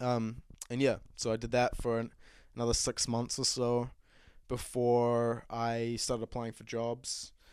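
A man with a New Zealand accent, medium pitch, a fairly slow pace and monotone, flat intonation, in a very clean recording with a silent background. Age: 20s. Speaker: podcast host. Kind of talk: solo casual monologue. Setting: home studio set with bar.

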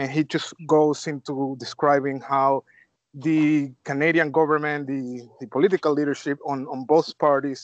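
A man speaks at a moderate pace, the sound dry and close with no echo over a quiet background. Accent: Spanish. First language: Spanish. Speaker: podcast host. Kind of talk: interview.

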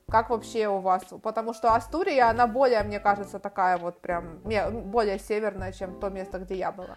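Her loudness swings widely while this woman, with a normal speaking voice and a medium pitch, keeps a moderate pace and fairly even intonation. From Ukraine, Kharkiv. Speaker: podcast host. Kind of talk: casual interview.

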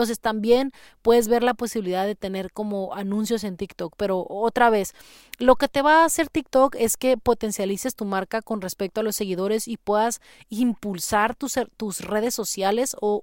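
A normal speaking voice moves at a moderate pace with ordinary pitch variation. The sound is dry and close with no echo, in a very clean recording with a silent background. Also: woman. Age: 30s. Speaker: podcast host, marketing consultant. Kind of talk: casual tutorial. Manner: conversational, with frequent fillers.

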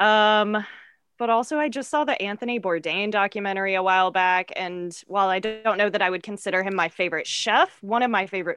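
With music in the background, a woman with an American accent talks at a fairly quick pace in a medium pitch. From US South. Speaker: guest, improv performer. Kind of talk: casual comedy podcast chat.

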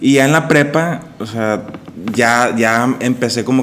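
Noticeable background noise sits under the recording. The speaker is a man. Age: 30s. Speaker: podcast co-host, entrepreneur. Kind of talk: casual chat. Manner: halting, many repetitions.

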